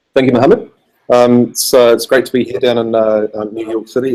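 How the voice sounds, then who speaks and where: This man moves at a moderate pace, his intonation fairly even. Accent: New Zealand. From New Zealand. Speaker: software developer. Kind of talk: conference talk. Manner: halting, many fillers.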